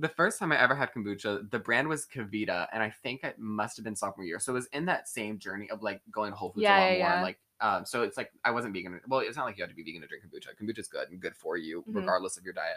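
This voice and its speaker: A man at medium pitch speaks at a very fast pace with hardly any pauses, very wide pitch swings and big swings in loudness. His tone is bright and sharp on a very clean recording with a silent background. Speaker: podcast guest. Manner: fast talker.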